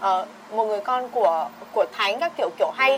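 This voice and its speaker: This woman's intonation is lively, and noticeable background noise runs beneath her. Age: 20s. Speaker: podcast guest. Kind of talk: casual chat.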